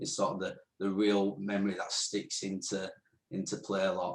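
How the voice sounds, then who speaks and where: A man with a northern English accent talks at a fairly quick pace. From northern England, Rotherham, South Yorkshire. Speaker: podcast co-host. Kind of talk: casual Q&A interview. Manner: chatty, hesitant with fillers.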